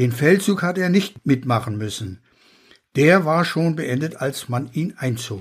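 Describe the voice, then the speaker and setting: Somewhat breathy and fairly high in pitch, a man speaks at a very slow pace on a very clean recording with a silent background. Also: lively intonation. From Pomerania and Rügen. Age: 80s+. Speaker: author. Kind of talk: reading aloud.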